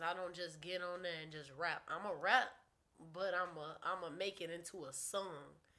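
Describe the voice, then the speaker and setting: The speaker is a woman with a fairly low pitch. She keeps a moderate pace and fairly even intonation. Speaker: recording artist. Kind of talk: casual interview.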